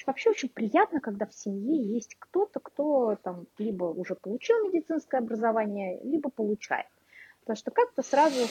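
Heard in a dry, close sound with no echo, a woman with high pitch and a dark, mellow tone speaks at a moderate pace. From Moscow, Russia. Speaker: English teacher and blogger. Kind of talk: casual chat.

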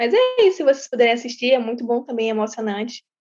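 Her high-pitched voice races at a very fast pace, the woman's sound dry and close with no echo. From São Luís, Maranhão, Brazil. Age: young. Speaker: youth project participant. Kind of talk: casual chat.

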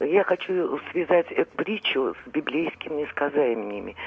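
Very slowly, a woman with a very deep, low pitch speaks with lively intonation. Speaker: caller. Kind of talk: phone-in call. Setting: phone call. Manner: halting, stammering.

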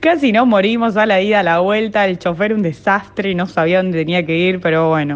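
A woman talks in a normal speaking voice at medium pitch and a fairly quick pace, with ordinary pitch variation, very even loudness and hardly any pauses. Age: 20s. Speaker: football fan. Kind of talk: personal testimony.

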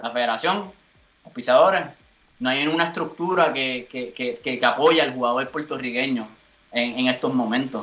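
A normal speaking voice from a man, moderate in pace and medium in pitch. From Puerto Rico. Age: 30s. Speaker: footballer. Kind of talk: interview.

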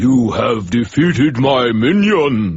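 In a put-on character voice, a man booms at a very slow pace with a medium pitch. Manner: booming, melodramatic.

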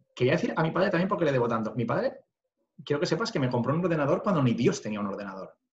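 A man talks at a very fast pace in a fairly high voice with vocal fry. His pitch swings very widely. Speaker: construction business owner. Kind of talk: interview conversation.

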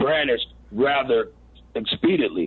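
A man talks at a moderate pace. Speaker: family member of a police shooting victim. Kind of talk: phone interview on talk radio. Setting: phone call.

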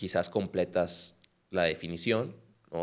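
A man speaks at a fairly slow pace in a very deep, low voice. The recording is very clean, with a silent background. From Mexico, Culiacán (Sinaloa). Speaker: compliance lawyer. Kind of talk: casual chat.

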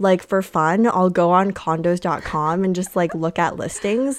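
The recording is very clean, with a silent background. A woman with a normal speaking voice talks at a fairly low pitch and a fairly slow pace. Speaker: podcast co-host, university student. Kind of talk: casual chat.

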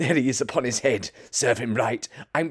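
The text is simply read aloud in a plain way.

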